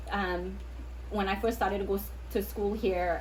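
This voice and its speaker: Noticeable background noise and audible room echo surround the recording. A woman talks at a moderate pace. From Trinidad. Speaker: podcast co-host. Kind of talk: casual chat.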